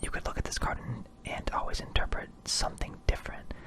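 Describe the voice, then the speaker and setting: A man whispering at a moderate pace over noticeable background noise. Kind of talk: casual talk to camera. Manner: whispered.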